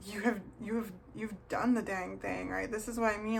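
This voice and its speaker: A woman keeps a moderate pace, her voice carrying audible room echo amid noticeable background noise. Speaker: tarot reader. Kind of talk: tarot reading video.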